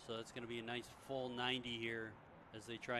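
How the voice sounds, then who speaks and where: A man speaks with a Midwestern accent at a medium pitch. His intonation stays monotone and flat. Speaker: play-by-play commentator. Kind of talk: live sports commentary.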